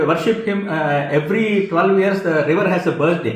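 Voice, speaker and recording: The man speaks at a moderate pace with a strong Indian accent. Audible room echo and noticeable background noise are present. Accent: thick Indian. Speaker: commentator. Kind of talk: opinion monologue. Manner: halting, many fillers.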